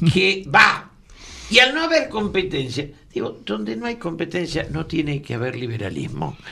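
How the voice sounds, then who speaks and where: A man with a Rioplatense accent speaks at a moderate pace, his pitch swinging very widely over noticeable background noise. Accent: Rioplatense Spanish (porteño). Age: 70s. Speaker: radio talk show co-host. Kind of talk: political discussion on radio.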